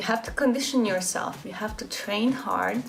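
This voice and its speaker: Over music in the background and audible room echo, a woman with a Hungarian accent speaks at a moderate pace in a fairly high pitch with ordinary pitch variation. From Hungary. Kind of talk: casual vlog talk.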